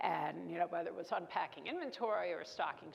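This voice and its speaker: A woman speaks with a Brooklyn accent. Her pace is fairly quick. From New York, Brooklyn. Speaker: keynote speaker, business executive. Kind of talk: keynote speech. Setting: stage with audience.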